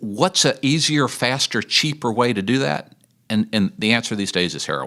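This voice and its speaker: A man at a moderate pace, medium in pitch with a bright, sharp tone, very wide pitch swings and vocal fry. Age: 60s. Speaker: addiction ministry leader. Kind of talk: podcast interview.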